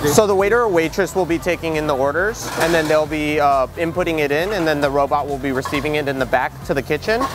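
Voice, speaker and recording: Very fast speech with hardly any pauses and ordinary pitch variation, dry with no echo, plays over noticeable background noise. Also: man. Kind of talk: interview answer. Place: cafe. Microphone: lapel.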